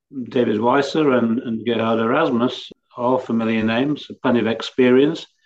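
This man's intonation is fairly even. His speech keeps a moderate pace. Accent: English. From England. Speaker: cricket columnist. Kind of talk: panel discussion. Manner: halting.

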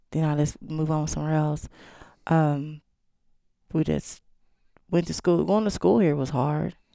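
Pausing long and often, a woman with an East Texas accent talks at a fairly slow pace in a very deep, low voice with ordinary pitch variation. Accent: East Texas Southern. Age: 40s. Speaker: chef. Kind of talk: casual chat.

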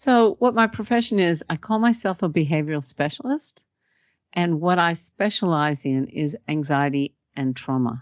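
At a moderate pace, a woman talks in a fairly low pitch. Her pitch swings very widely. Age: 60s. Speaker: hypnotherapist and trauma specialist. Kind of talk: interview conversation.

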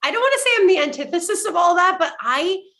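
A woman talks at a fairly quick pace in an animated tone. Her voice is raised and projected. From Quebec (French Canada). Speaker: actress. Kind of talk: casual interview chat.

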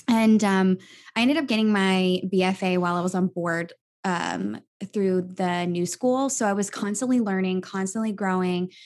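Recorded very cleanly against a silent background, a woman has a plain, everyday voice at a medium pitch with ordinary pitch variation. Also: moderate pace. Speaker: health coach and musical theater performer. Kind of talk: interview.

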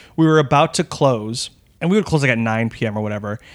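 An ordinary speaking voice with an American accent moves at a fairly quick pace with ordinary pitch variation on a very clean recording with a silent background. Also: man. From Texas, El Paso. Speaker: actor and improviser. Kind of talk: casual interview chat.

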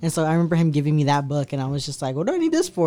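Amid noticeable background noise, a man with an American accent talks at a very fast pace, fairly high pitch, and ordinary pitch variation. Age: 20s. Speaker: artist and activist. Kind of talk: casual chat.

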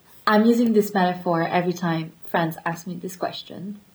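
Somewhat breathy, a woman with a French accent speaks at a medium pitch with fairly even intonation. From France, Paris area. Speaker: guest. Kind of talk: casual chat.

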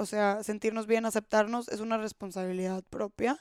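A plain, everyday voice at a fairly slow pace with ordinary pitch variation, in a very clean recording with a silent background and a dry, close sound free of echo. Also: woman. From Monterrey, Mexico. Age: 20s. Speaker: podcast host. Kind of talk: solo podcast monologue.

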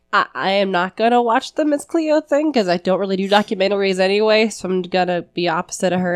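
Very fast speech from a woman, medium in pitch. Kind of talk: casual chat.

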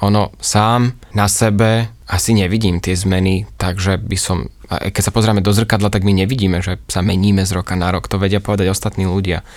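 A man's fairly low voice at a moderate pace, fairly even in intonation, with hardly any pauses. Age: 30s. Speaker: yoga teacher. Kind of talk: casual interview. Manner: cheerful.

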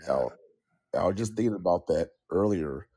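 Recorded with a dry, close sound and no echo, a man speaks at a moderate pace with a fairly low pitch and a dark, mellow tone. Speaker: pro wrestler, tag team champion. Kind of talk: casual interview, wrestling talk.

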